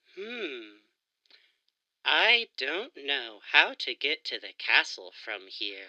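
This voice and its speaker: A put-on character voice at a middle pitch moves at a very slow pace. Long pauses come often, against a quiet background. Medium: audio drama.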